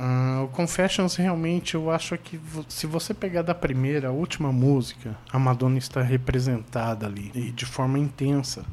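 Here a man has an unremarkable speaking voice at a medium pitch, with ordinary pitch variation. He keeps a moderate pace with hardly any pauses. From Brazil, mostly São Paulo, Brasília and Paraná. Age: 40s. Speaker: podcast host. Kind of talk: casual chat.

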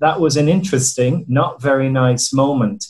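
Speaking at a fairly slow pace with an Irish accent, a man sounds somewhat breathy, his pitch varying in an ordinary way. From Ireland. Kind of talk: group video call discussion. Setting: video call.

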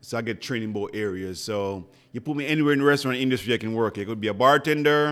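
With a Jamaican accent, a man talks very fast at a medium pitch and with ordinary pitch variation. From rural Jamaica. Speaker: chef and restaurant owner. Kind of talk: casual interview. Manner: animated.

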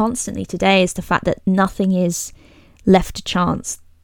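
A fairly slow, mid-pitched female voice. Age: 20s. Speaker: podcast host. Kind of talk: casual chat.

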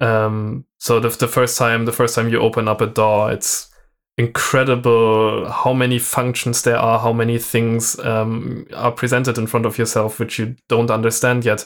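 A man with a German accent speaks at a moderate pace and medium pitch, in a monotone, flat intonation and at very even loudness. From southern Germany. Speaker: drum and bass podcast co-host and music producer. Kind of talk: casual chat. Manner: halting, many fillers.

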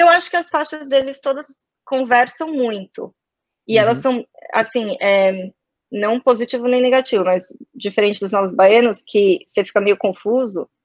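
A woman with a fairly high pitch and lively intonation speaks at a moderate pace in a dry, close sound with no echo. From Brazil, São Paulo. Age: 20s. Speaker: advertising professional. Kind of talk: casual interview chat.

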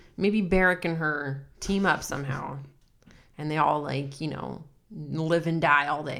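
A woman's very deep, low voice at a fairly slow pace, fairly even in intonation, with audible room echo. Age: 30s. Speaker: podcast co-host. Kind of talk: casual chat.

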